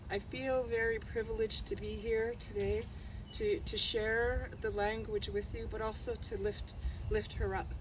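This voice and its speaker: Speech at a moderate pace with a Great Lakes accent, over noticeable background noise. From Georgina Island, Ontario (Ojibwe community). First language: Ojibwe. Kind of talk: ceremonial opening speech.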